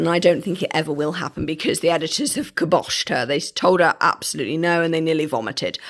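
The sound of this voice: A woman talks at a fairly quick pace, her croaky voice fairly low in pitch and marked by vocal fry.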